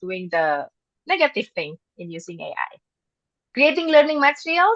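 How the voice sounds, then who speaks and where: A woman with an Indonesian accent speaks at a moderate pace in a dry, close sound with no echo and a quiet background. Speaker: English teacher and presenter. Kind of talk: webinar presentation. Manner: halting, with many fillers.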